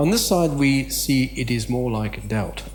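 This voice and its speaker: Audible room echo colors a man's speech. Noticeable background noise is present as well. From Southern Africa, then Australia. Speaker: conference speaker, missional theologian. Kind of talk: conference talk. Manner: halting, many fillers.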